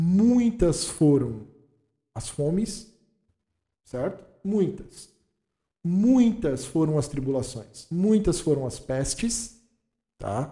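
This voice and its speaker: A man's high-pitched, dark and mellow voice at a very slow pace, with very wide pitch swings and long, frequent pauses. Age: 40s. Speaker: pastor and theology teacher. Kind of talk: casual theological discussion.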